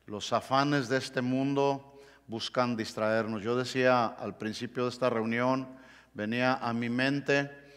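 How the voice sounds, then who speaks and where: Against a quiet background, a man at a medium pitch talks at a very slow pace with fairly even intonation. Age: 60s. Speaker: pastor. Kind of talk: sermon. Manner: halting. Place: church.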